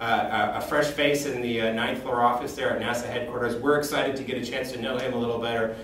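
With a monotone, flat intonation, a man talks at a very fast pace amid light background noise and audible room echo. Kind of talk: informal news recap. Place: office. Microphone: camera far.

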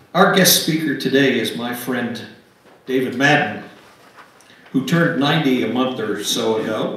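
Medium-pitched male speech at a fairly slow pace, fairly bright in tone, with ordinary pitch variation and strong room echo

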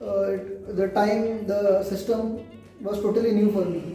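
The intonation is monotone and flat, and audible room echo surrounds the voice. Faint music plays in the background. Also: man. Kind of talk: interview answer. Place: classroom. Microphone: phone near.

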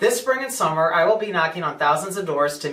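A man with an American accent and audible room echo. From US Midwest, St. Charles, Missouri; Missouri. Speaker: political candidate; candidate. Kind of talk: campaign speech. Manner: formal. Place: office.

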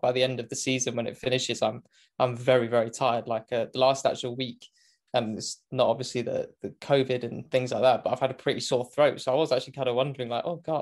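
Against a quiet background, a man speaks in a British accent. His pace is fairly quick and his intonation is monotone and flat. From Great Britain. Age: 20s. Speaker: motorsport commentator. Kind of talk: casual interview chat. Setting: remote call from home. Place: home room.

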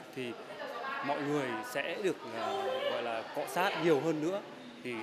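Over crowd noise in the background, the speaker goes at a fairly slow pace. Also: man. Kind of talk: interview answer. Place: gym.

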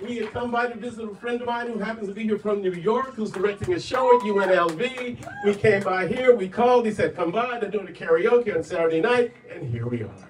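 With a high pitch and ordinary pitch variation, a man talks at a fairly quick pace with hardly any pauses over light background noise. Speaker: guest. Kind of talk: casual announcement to audience. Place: bar.

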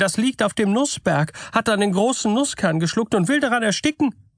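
Speaking at a moderate pace, a man with a high pitch is heard in a dry, close sound with no echo. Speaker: audiobook narrator. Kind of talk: bedtime story reading of fairy tales, scripted narration.

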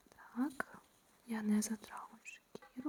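A woman speaks at a very slow pace in a soothing, dark, mellow tone. The sound is dry and close, with no echo. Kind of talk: ASMR relaxation video, whispered personal attention. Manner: whispered, soothing.

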